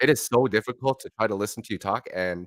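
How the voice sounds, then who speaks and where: A man at a moderate pace with ordinary pitch variation, in a very clean recording with a silent background and a dry, close sound with no echo. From Canada, Montreal then Toronto. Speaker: motivational speaker. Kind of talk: motivational talk; livestream talk. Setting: livestream with guests. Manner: halting. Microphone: echo from speakers.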